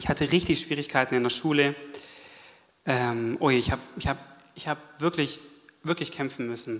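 A man with a fairly high pitch talks fairly quickly, his pitch varying in an ordinary way. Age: 30s. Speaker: church member giving testimony. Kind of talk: testimony. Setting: stage with audience. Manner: animated.

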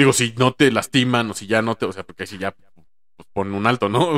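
Recorded dry and close with no echo, a man speaks with a Mexican accent at medium pitch. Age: 30s. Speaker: stand-up comedian. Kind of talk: casual chat.

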